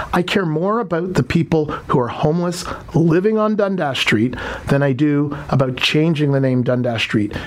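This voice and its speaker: With an animated tone and lively intonation, a man speaks at a fairly high pitch. His loudness stays very even over noticeable background noise. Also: moderate pace. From Toronto, Canada. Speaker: politician, mayoral candidate. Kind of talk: radio interview.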